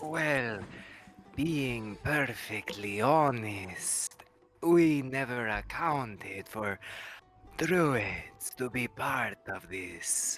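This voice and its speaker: Faint music plays in the background as a man uses a put-on character voice at medium pitch and a very slow pace. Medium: actual play. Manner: formal, measured.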